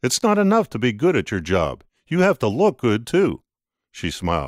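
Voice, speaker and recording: Using a put-on character voice, a man at medium pitch moves at a moderate pace through very wide pitch swings. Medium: read story.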